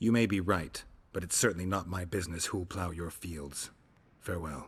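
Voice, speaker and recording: Putting on a character voice, a man speaks very deep and low at a moderate pace with fairly even intonation. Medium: video game. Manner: dry, laconic.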